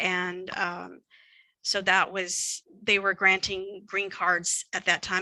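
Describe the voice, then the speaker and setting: In an American accent, a woman speaks at a fairly slow pace with a medium pitch, a bright, sharp tone and monotone, flat intonation. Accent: Texan, gets heavier the longer speaking. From Texas. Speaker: psychologist presenter. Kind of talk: lecture. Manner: halting.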